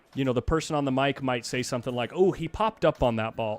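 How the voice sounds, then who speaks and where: With music in the background, a man speaks at a fairly quick pace with lively intonation. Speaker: pool commentator. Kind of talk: live commentary. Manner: loud; animated.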